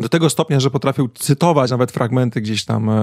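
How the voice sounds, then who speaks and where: This man has an unremarkable speaking voice with a medium pitch and ordinary pitch variation. The sound is dry and close, with no echo. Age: 40s. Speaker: podcast host. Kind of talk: casual chat.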